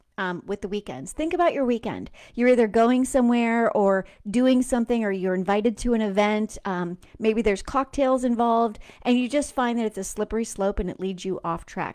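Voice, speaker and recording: The speaker uses an animated tone and ordinary pitch variation at a fairly quick pace. The background is quiet. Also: woman, fairly high pitch for a woman. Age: 40s. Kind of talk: casual faith-based monologue, recorded live. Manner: animated, chatty.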